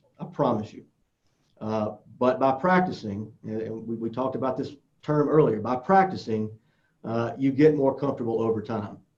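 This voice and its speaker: A man speaks at a medium pitch, with audible echo from the room. His pitch varies in an ordinary way while his loudness swings widely. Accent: strong Southern US. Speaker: social media speaker. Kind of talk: conference presentation.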